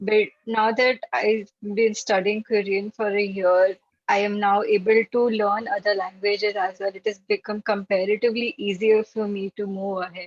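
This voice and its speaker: Speaking with a Gujarati accent, a woman talks at a moderate pace with monotone, flat intonation and hardly any pauses. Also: medium pitch for a woman. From India, Maharashtra. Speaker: language learner at online meetup. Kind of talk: casual chat.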